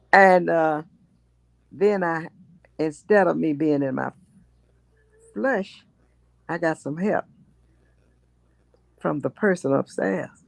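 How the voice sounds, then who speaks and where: A woman with a Memphis accent speaks at a very slow pace, her pitch very deep and low. She leaves long, frequent pauses. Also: lively intonation, dry, close sound with no echo. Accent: Southern US (Memphis). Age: 90s. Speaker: state representative, retired teacher. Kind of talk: interview answer.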